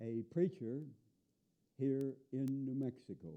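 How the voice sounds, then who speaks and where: A man speaks with an American accent at a medium pitch. His pace is very slow. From US Midwest, northern Illinois. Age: 70s. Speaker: activist. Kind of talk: monologue. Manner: emphatic.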